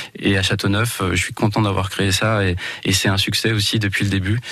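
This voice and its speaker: Monotone, flat intonation runs at a fairly quick pace over noticeable background noise. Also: man. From Val d'Oise, France. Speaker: eco-lodge owner. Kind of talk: radio interview.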